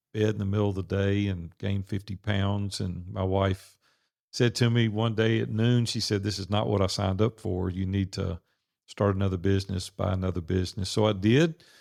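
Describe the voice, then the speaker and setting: With a Southern US accent, a man talks in a fairly low pitch with ordinary pitch variation. The recording is very clean, with a silent background. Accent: Southern drawl. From US South, Nashville, Tennessee. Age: 60s. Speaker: entrepreneur and business coach. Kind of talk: podcast interview. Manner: casual, conversational.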